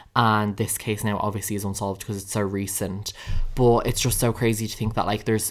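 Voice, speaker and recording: In a very clean recording over a silent background, a man speaks with an Irish accent. His pitch is fairly low and his pace fairly quick. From Ireland. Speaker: podcast host. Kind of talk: casual chat. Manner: animated.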